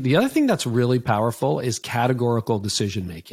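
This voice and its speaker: Speaking at a fairly quick pace in a Canadian accent, a man with a medium pitch and a plain, everyday voice shows ordinary pitch variation in a very clean recording with a silent background. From Canada. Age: 50s. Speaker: author and leadership coach. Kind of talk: interview conversation.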